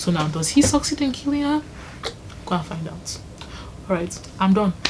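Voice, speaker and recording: A woman speaks with lively intonation. Noticeable background noise is present. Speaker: YouTuber. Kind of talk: casual vlog recommendation talk. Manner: fast.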